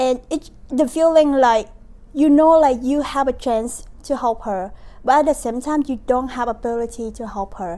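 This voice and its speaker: A woman with a Vietnamese accent talks at a moderate pace. Her high voice has a dark, mellow tone and ordinary pitch variation. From Vietnam, Ho Chi Minh City. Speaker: university student, nonprofit founder. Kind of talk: interview. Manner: halting.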